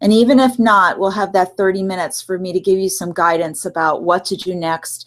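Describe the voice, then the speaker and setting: A woman talks in an unremarkable speaking voice, medium in pitch, at a moderate pace, her pitch varying in an ordinary way. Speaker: relationship coach and clinical social worker. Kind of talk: webinar presentation. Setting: online live webinar with screen share.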